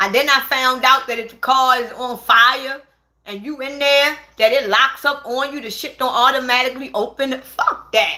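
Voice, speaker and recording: The voice is raised and projected, with an animated, bright, sharp tone. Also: woman. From Baltimore, Maryland. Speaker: livestreamer. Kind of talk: casual livestream chat.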